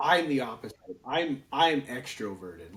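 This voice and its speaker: A man's fairly high voice with an American accent. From Lowell, Massachusetts, then Phoenix, Arizona from age 11. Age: 40s. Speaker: podcast host. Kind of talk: casual chat. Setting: home studio. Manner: animated.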